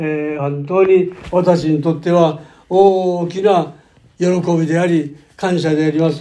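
In a room with audible echo, a man with a high voice and a dark, mellow tone speaks very slowly in a flat monotone. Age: 90s. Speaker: pastor. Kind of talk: sermon.

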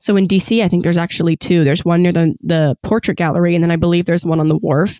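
Delivered at a very fast pace with an American accent, the speech comes on a very clean recording with a silent background. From US South, Virginia (Gloucester). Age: 20s. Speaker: podcast host. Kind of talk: casual solo monologue.

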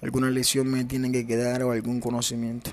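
A man with a coastal Colombian accent speaks at a moderate pace in a medium pitch. His intonation is monotone and flat, with music in the background. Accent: Colombian coastal (costeño) Spanish. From Caribbean coast of Colombia, Ciénaga, Magdalena. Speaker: podcaster. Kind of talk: personal reflective monologue.

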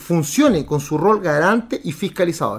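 This man has a high-pitched voice. His pitch variation is ordinary. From Chile, Santiago (Recoleta). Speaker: lawyer and political candidate. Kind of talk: political podcast monologue. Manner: animated; halting with repeated words.

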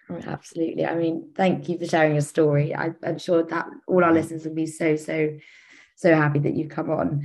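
A woman's very deep, low-pitched voice, monotone and flat in intonation, at a fairly quick pace. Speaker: student podcast host. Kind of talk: interview.

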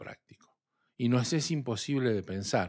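An ordinary speaking voice, a man at medium pitch shows ordinary pitch variation on a very clean recording with a silent background. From Argentina, southern Santa Fe province. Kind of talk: religious discussion.

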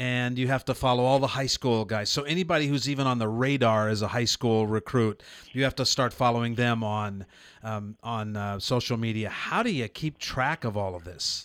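A man with an American accent speaks in a normal speaking voice at a medium pitch. His pace is moderate, with ordinary pitch variation. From Nebraska. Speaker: radio host. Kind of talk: interview. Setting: studio.

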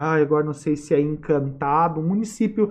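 A man is speaking. There is audible room echo. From Sapiranga, Rio Grande do Sul, Brazil. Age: 40s. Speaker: history professor. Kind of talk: interview, lecture-like explanation. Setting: studio.

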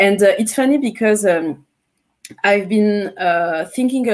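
A woman with a French Caribbean accent, at a moderate pace and medium pitch, with ordinary pitch variation. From Martinique. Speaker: singer-songwriter and beat maker. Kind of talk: interview. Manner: halting, with many fillers.

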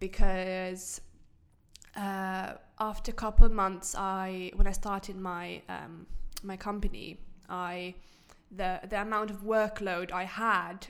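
With monotone, flat intonation and medium pitch, a woman speaks at a very slow pace with long, frequent pauses and big swings in loudness, in a room with audible echo. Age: 20s. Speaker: blogger and digital creator. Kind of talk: interview. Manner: halting, many fillers and repeats.

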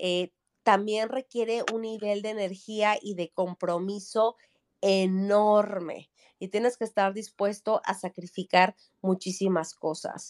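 Heard in a dry, close sound with no echo, a woman speaks very slowly with fairly even intonation. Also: medium pitch for a woman. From Mexico City. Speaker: entrepreneur and startup coach. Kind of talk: interview. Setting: video call from vacation in the Mexican Caribbean.

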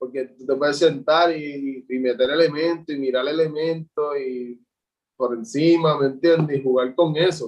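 A man at a moderate pace, fairly high in pitch, with fairly even intonation. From Puerto Rico, Juncos. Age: 20s. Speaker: visual artist. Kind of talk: interview. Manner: halting, repeats words.

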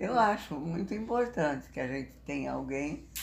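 A woman speaks with a very deep, low voice. Room echo is audible around her. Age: 90s; 80s+. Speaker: interviewee, elderly woman. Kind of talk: interview. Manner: halting.

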